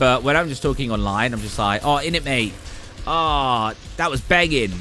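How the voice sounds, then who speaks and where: A British accent shapes this voice. Delivery holds to a moderate pace. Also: man, medium pitch for a man, ordinary pitch variation. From England. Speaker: gaming streamer. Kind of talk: casual chat. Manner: informal.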